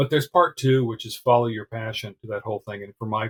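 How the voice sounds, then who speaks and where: Dry and close with no echo, the recording captures a man at medium pitch with a somewhat breathy voice. He speaks at a fairly quick pace with fairly even intonation. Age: 60s. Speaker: retired internal auditor and blogger. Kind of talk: interview. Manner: casual.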